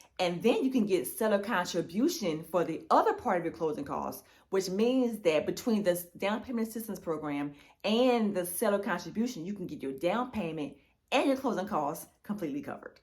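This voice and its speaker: A woman talks at a fairly quick pace. Her medium-pitched voice has lively intonation. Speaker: realtor. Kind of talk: tutorial. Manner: fast.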